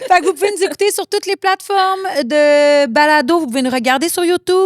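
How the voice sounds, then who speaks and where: In a dry, close sound with no echo, a woman with a Quebec accent speaks fairly quickly at an extremely high pitch, her intonation lively. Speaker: podcast co-host. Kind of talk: podcast outro, casual.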